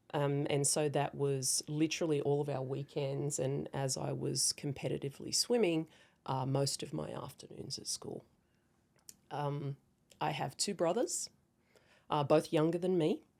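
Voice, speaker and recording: A woman with an Australian accent speaks at a moderate pace in a very deep, low pitch with vocal fry. Her tone is dark and mellow, and her intonation fairly even. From Australia, rural central New South Wales. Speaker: cybersecurity founder and former navy intelligence officer. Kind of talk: interview.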